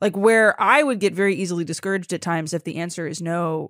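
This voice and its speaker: Recorded very cleanly against a silent background, a woman's medium-pitched voice comes through dry and close with no echo. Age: 30s. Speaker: podcast host. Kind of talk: casual chat. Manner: animated.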